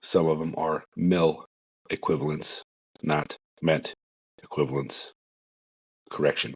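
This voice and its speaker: With a very deep, low pitch and vocal fry, a man mumbles at a fairly slow pace in a monotone, flat intonation, leaving long, frequent pauses, the sound dry and close with no echo. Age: 40s. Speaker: podcast host, first responder. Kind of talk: solo podcast monologue. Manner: mumbling; casual, conversational.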